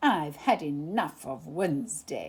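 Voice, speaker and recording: Growling at a fairly slow pace, a woman performs a put-on character voice. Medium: read story. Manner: slow, hesitant.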